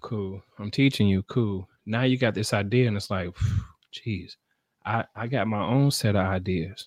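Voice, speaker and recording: A man with a fairly low pitch has an unremarkable speaking voice and fairly even intonation. He goes at a fairly slow pace, the sound dry and close with no echo. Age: 30s. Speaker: live stream host and entrepreneur. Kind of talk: casual solo live stream chat. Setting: live stream at home.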